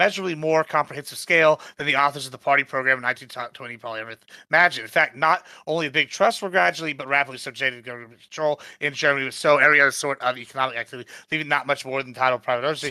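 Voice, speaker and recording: A man mumbles in a put-on character voice at a very fast pace. His pitch is fairly high, with ordinary variation. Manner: fast, mumbling.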